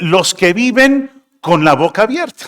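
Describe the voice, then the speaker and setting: Lively intonation marks a man's voice pitched extremely high. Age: 60s. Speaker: pastor. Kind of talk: sermon.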